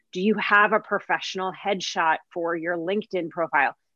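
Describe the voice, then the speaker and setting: A woman's unremarkable speaking voice, medium in pitch, with fairly even intonation and a moderate pace. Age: 30s. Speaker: marketing agency executive. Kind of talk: interview.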